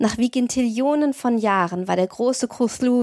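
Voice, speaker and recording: The speaker has an ordinary speaking voice with ordinary pitch variation, at a moderate pace. The recording is very clean with a silent background, and the sound is dry and close with no echo. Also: woman. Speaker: podcast host and audiobook narrator. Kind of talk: horror audiobook narration, reading aloud a Lovecraft story.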